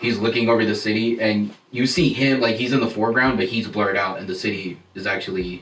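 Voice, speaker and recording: Talking at a very fast pace with hardly any pauses, a man keeps a medium pitch and fairly even intonation. Noticeable background noise and audible room echo are present. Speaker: wedding photographer. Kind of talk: casual chat. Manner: soft-spoken.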